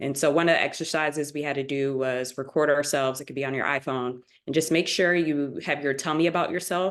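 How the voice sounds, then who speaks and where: A very fast, fairly evenly intoned woman's voice, very deep and low, with an American accent and a quiet background. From Springfield, Massachusetts. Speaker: MBA student panelist. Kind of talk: webinar panel discussion.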